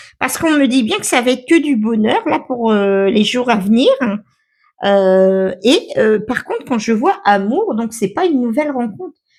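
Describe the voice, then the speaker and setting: A woman speaks in a high voice at a fairly slow pace. Her intonation is lively. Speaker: tarot card reader. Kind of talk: tarot reading. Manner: hesitant, many fillers.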